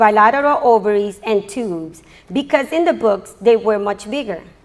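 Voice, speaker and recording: A woman speaks with lively intonation. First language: not English. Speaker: graduating student. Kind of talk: graduation speech. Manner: halting.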